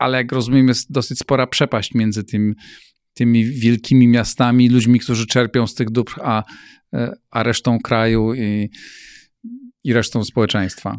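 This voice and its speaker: Speaking at a moderate pace in a flat monotone, a man leaves long, frequent pauses, with a quiet background and a dry sound that has no echo. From Poland. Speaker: interview host. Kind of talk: interview. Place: studio. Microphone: studio mic.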